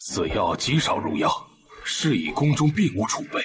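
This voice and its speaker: A man puts on a character voice. He keeps a moderate pace. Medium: short film. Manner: measured, deferential.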